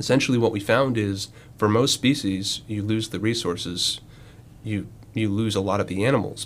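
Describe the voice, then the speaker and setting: With an American accent and a normal speaking voice, a man talks at a moderate pace, his fairly low pitch showing ordinary pitch variation. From Western North Carolina. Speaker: marine scientist. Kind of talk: interview.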